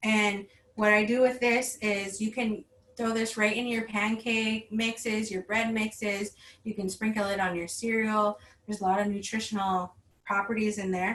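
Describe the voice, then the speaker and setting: Over noticeable background noise, a woman with an American accent speaks at a fairly high pitch in a monotone, flat intonation. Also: moderate pace. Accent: reservation accent, slight. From Red Lake Nation, northern Minnesota. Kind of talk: online workshop talk. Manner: casual, with many fillers.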